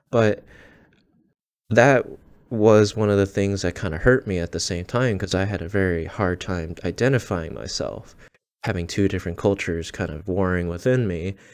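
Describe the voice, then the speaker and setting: With an American accent and an ordinary speaking voice, a man talks at a fairly low pitch and a moderate pace with ordinary pitch variation, in a very clean recording with a silent background. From Michigan, near Detroit. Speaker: solo podcaster. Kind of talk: casual monologue.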